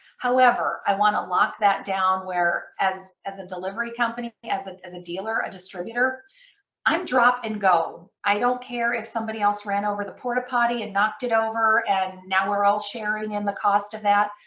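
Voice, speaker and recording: In an unremarkable speaking voice, the speaker goes at a fairly quick pace with fairly even intonation and big swings in loudness. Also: woman, medium pitch for a woman. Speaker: credit management presenter. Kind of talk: webinar presentation. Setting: online webinar.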